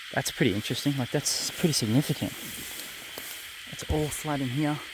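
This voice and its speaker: With an Australian accent, a man talks at a fairly quick pace in a fairly high pitch. His intonation stays fairly even over noticeable background noise. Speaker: outdoor investigator vlogger. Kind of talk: walking commentary outdoors. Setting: outdoors in the bush. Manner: whispering.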